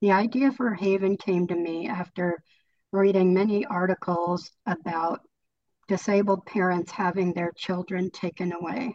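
With a General American accent, a woman uses a normal speaking voice at medium pitch, moderate pace and fairly even intonation. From California. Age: 60s. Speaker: author. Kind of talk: book club discussion. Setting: video call.

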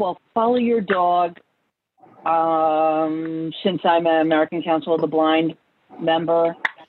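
Speaking at a very slow pace with a slight New York accent, a woman keeps a fairly low pitch, very even loudness and fairly even intonation. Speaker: author and family therapist. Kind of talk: online group interview.

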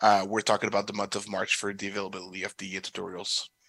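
A man with a French accent speaks at a fairly low pitch in a bright, sharp tone with monotone, flat intonation. The sound is dry and close with no echo, and the recording is very clean with a silent background. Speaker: assistive tech company product specialist. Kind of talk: product presentation and Q&A.

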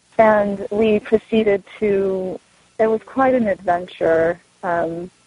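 A woman speaks with an American accent. Hers is an unremarkable speaking voice at a medium pitch. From Southern California. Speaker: novelist. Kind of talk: author talk. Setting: remote call.

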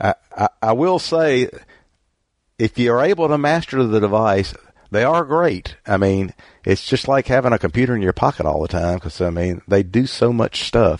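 Speaking at a medium pitch and a moderate pace with a strong Southern US accent, a man makes very wide pitch swings, heard in dry, close sound with no echo against a quiet background. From US South. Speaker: book club host. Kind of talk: casual book club discussion. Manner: rambling, halting, many fillers.

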